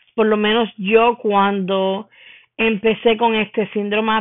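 The intonation is fairly even. It comes in an ordinary speaking voice. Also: woman. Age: 30s. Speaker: podcaster. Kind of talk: solo podcast monologue.

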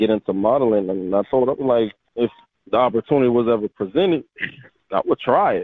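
A man with an American accent talks at a very fast pace, keeping his loudness very even while leaving long, frequent pauses. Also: medium pitch for a man, lively intonation. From Delaware, US. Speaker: boxer and fitness model. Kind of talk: casual interview.

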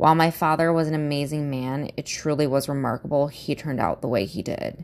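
A woman's very deep, low voice at a fairly quick pace. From US Midwest. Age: 30s. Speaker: podcast host. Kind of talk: casual monologue, personal introduction. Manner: laughs often, candid, swears.

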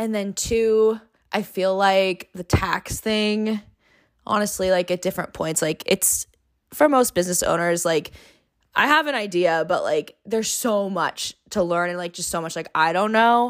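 A woman speaks at a fairly slow pace in an animated tone. Her medium pitch shows ordinary pitch variation on a very clean recording with a silent background. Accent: Californian. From Long Beach, California. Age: 20s. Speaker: florist and small business owner. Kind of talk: casual interview chat. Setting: home recording with headphones.

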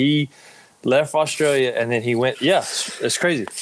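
A man speaks at a moderate pace in an ordinary speaking voice, his medium pitch moving with ordinary variation. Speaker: pro wrestler. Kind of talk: casual chat. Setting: remote video call.

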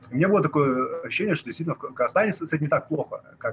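There's noticeable background noise as a man talks in a fairly high voice. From Kazakhstan, Almaty. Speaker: activist and blogger. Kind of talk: casual interview.

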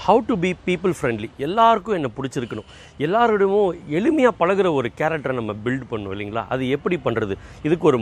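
A man is speaking. His pitch swings very widely. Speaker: motivational speaker. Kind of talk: motivational talk. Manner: conversational, colloquial.

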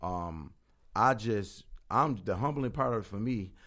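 Here is a man with a plain, everyday voice, fairly low in pitch. He talks at a moderate pace with lively intonation. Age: 40s. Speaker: entrepreneur and event organizer. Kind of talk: casual interview.

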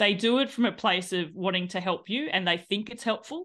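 Lively intonation marks this woman's speech in an Australian accent. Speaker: cycling business owner and ultra cyclist. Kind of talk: casual podcast interview.

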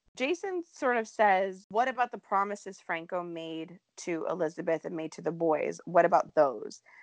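A woman in an unremarkable speaking voice talks at a medium pitch and moderate pace, with lively intonation and big swings in loudness. The sound is dry and close with no echo against a quiet background. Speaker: soap opera podcast host. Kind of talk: casual chat.

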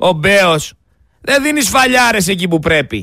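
Raising and projecting his voice, a man speaks fairly slowly with an animated tone. His tone is bright and sharp, with lively intonation. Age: young. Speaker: radio host. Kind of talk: radio commentary. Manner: loud.

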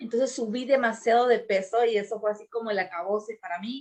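A woman with a plain, everyday voice, fairly high in pitch, with fairly even intonation. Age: 40s. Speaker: podcast host, business and personal development coach. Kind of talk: casual chat.

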